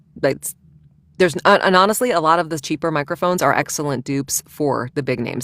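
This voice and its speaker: A woman with an American accent speaks at a very fast pace with ordinary pitch variation. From Virginia, US. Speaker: audiobook narrator. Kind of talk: casual interview chat.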